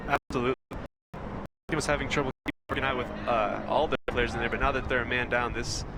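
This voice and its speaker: Very fast and flat, a man with a Western US accent talks in a monotone with vocal fry and a bright, sharp tone. The sound is dry and close, with no echo. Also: medium pitch for a man. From Idaho. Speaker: sports commentator. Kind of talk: live commentary. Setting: outdoor sports field.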